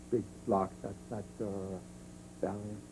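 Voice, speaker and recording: A man speaks with a German accent. His voice is somewhat breathy, with a dark, mellow tone. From Germany. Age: 70s. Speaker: Holocaust survivor. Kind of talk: interview testimony.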